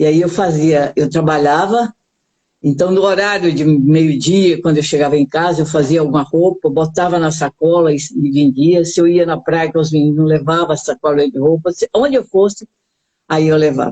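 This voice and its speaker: Speaking at a moderate pace, a woman with a very deep, low voice uses ordinary pitch variation. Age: 70s. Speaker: hypnotherapist. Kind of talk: interview. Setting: live stream.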